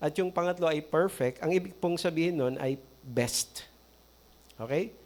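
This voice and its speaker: Here is a man with an ordinary speaking voice. His pitch sits fairly high. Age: 60s. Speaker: pastor. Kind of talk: sermon.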